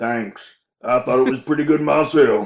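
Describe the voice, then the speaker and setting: A put-on character voice from a man, pitched fairly high and moving at a moderate speed. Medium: audio drama. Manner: folksy, homespun.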